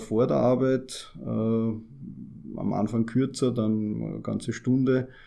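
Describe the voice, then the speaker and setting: Fairly even in intonation, the man's voice has a dark, mellow tone. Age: 40s. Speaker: amateur marathon runner. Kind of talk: interview.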